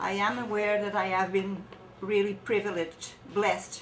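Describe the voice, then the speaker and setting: There is audible room echo and noticeable background noise as a woman with a French accent speaks at a moderate pace. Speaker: charity volunteer. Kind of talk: testimony; reading aloud. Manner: halting.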